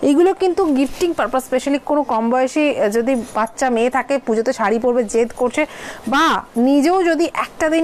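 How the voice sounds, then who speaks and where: A woman with a high voice speaks with ordinary pitch variation over noticeable background noise. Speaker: online saree seller. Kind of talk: live sales stream. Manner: code-switching Bengali, Hindi, English; hesitant fillers.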